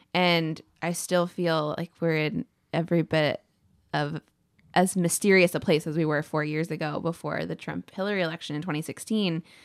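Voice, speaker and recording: A woman with a plain, everyday voice speaks at a moderate pace, fairly low in pitch with fairly even intonation. The recording is very clean with a silent background, and the sound is dry and close with no echo. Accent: American. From Texas. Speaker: podcast co-host. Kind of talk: casual political discussion.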